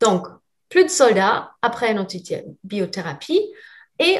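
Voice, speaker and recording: A somewhat breathy voice with a slight non-native accent. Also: woman. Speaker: lab representative presenting products to naturopaths. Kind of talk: webinar product presentation. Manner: clear; hesitant, many fillers.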